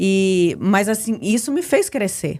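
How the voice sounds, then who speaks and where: Using an ordinary speaking voice, a woman talks with lively intonation at a fairly high pitch. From Brazil, Espírito Santo. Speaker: immigrant sharing life story. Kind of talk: podcast interview.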